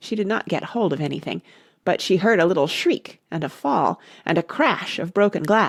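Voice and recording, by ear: The background is quiet as someone reads aloud in a natural voice.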